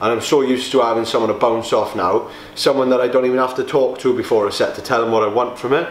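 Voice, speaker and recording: A man's very fast, monotone and flat delivery with audible room echo and light background noise. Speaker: bodybuilder vlogger. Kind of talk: casual vlog chat. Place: gym. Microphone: camera far.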